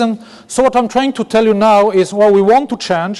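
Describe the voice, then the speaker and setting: A man with a slight French accent, very fast pace and ordinary pitch variation. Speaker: business executive. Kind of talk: keynote speech. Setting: conference stage with audience. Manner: halting, with self-corrections.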